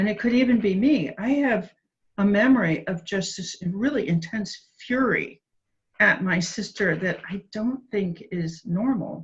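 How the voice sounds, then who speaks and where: Somewhat breathy and medium in pitch, a woman speaks with an American accent. Her pace is fairly slow, with ordinary pitch variation. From US Midwest, Cincinnati, Ohio. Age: 60s. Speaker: addiction researcher and author. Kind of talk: interview.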